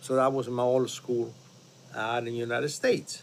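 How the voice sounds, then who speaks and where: A man with a strong non-native accent talks at a moderate pace. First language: not English. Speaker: restaurant owner. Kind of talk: casual conversation.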